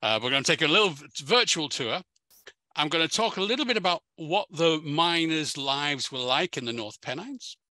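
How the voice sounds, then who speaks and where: A man with an English accent speaks at a fairly quick pace in a fairly high pitch, his tone bright and sharp, in a dry, close recording with no echo. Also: lively intonation. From England. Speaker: historian giving a museum talk. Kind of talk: lecture. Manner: repetitive, many fillers and false starts.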